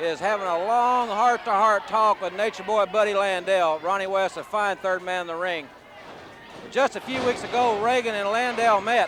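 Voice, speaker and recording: Over noticeable background noise, a man talks at a moderate pace in a high voice with ordinary pitch variation. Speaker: wrestling play-by-play announcer. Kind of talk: wrestling TV play-by-play commentary.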